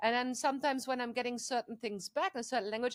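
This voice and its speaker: This woman has a fairly high pitch and a non-native accent. The sound is dry and close, with no echo. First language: not English. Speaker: AI council member. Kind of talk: casual interview conversation.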